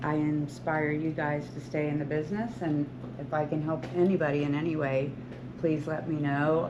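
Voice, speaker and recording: A woman's very deep, low voice at a moderate pace, fairly even in intonation, with audible room echo and noticeable background noise. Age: 60s. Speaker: hairstylist and salon owner. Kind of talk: talk to students.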